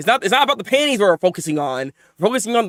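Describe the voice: Someone is doing plain reading aloud. Little can be heard behind the voice.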